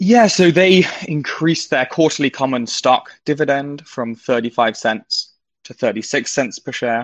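With a British accent, a man speaks at fairly high pitch, his intonation lively and his loudness swinging widely. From Britain. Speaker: financial writer. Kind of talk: market news chat.

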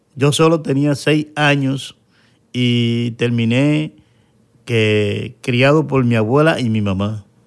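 At a very slow pace, a man speaks with a medium pitch and ordinary pitch variation in a very clean recording with a silent background. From Dominican Republic, Santo Domingo. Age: young. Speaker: interview guest, painter. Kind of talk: personal testimony interview.

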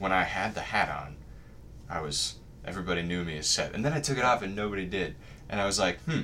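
A man with a fairly low pitch talks at a very fast pace with lively intonation and long, frequent pauses. Noticeable background noise runs underneath. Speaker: college student. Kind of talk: casual chat.

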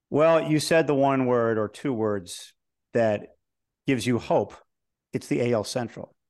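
With an American accent, a man in an ordinary speaking voice talks at a moderate pace with ordinary pitch variation against a quiet background. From Chicago. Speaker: sports TV host. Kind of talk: interview.

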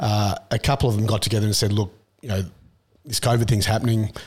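With an Australian accent, a man speaks very fast in a fairly low pitch, his voice somewhat breathy. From Australia, country Victoria. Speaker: tech entrepreneur and investor. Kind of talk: interview. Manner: casual, with frequent fillers.

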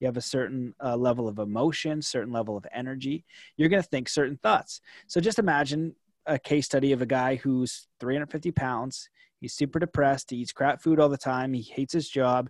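Against a quiet background, a man speaks in an unremarkable speaking voice of medium pitch at a fairly quick pace, with ordinary pitch variation and a dry, close sound with no echo. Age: 30s. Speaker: author and coach. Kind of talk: casual chat.

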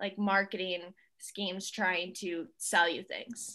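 Over a quiet background, a woman with a Northeastern US accent speaks very slowly in a bright, sharp tone with monotone, flat intonation. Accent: US Northeast American. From central New York. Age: 20s. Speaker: holistic health coach. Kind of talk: interview conversation.

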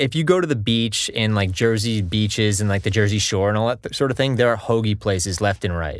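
In a normal speaking voice, a man talks at a moderate pace in a fairly low pitch with ordinary pitch variation, on a very clean recording with a silent background. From US Northeast, Connecticut (born Long Island). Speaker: hockey player and music video singer. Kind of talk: casual chat.

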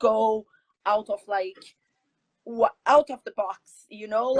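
A woman with a Brazilian Portuguese accent speaks at a very slow pace and fairly high pitch. The sound is dry and close, with no echo. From Brazil, São Paulo. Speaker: jiu-jitsu athlete and coach. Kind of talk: interview.

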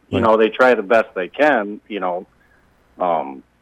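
A man uses a normal speaking voice with an American accent and lively intonation. His pitch is medium, and the sound is dry and close with no echo. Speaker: sheriff candidate. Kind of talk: phone-in interview. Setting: phone call.

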